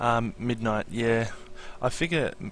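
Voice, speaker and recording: The speaker is a man with an Australian accent. His pitch varies in an ordinary way. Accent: Australian, milder than expected. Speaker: Minecraft streamer. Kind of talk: live stream tutorial chat. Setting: live stream. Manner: casual, hesitant with many fillers.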